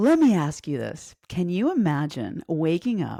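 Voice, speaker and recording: A woman's dark, mellow, upbeat tone with very wide pitch swings, dry and close with no echo, on a very clean recording with a silent background. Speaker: fitness coach and podcast host. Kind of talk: podcast intro monologue.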